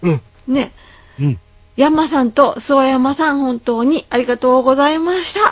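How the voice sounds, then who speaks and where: With ordinary variation in her pitch, a woman talks in a high voice. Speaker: podcast host. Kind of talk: casual chat. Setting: Skype call.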